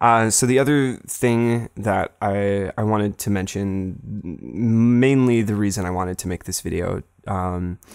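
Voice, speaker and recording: A man's unremarkable speaking voice, fairly low in pitch with ordinary pitch variation and a fairly slow pace, on a very clean recording with a silent background and a dry, close sound with no echo. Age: 20s. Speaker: film video essayist, channel owner. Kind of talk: unscripted casual update monologue. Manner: casual with many fillers and repetitions.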